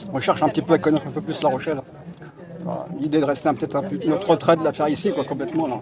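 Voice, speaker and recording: Noticeable background noise sits behind a man talking at a very fast pace. His pitch is fairly high, with ordinary pitch variation. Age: 60s. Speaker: street interview passer-by. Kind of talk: street interview.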